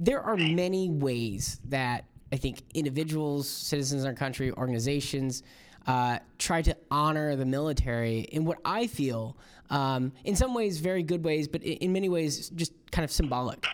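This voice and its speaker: A man's fairly high voice with an American accent, a normal speaking voice, at a moderate pace with ordinary pitch variation, on a very clean recording with a silent background. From Florida. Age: 30s. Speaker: podcast host. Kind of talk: interview; casual monologue.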